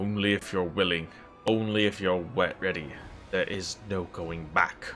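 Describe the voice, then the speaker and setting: Clear music plays in the background as a man uses a put-on character voice. His pitch is very deep and low, at a moderate pace. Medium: game stream.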